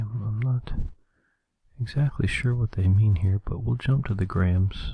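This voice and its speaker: Soft-spoken and calm, a man speaks in a relaxed, dark, mellow, somewhat breathy tone at medium pitch with ordinary pitch variation. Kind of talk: ASMR recipe reading. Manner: calm, relaxed.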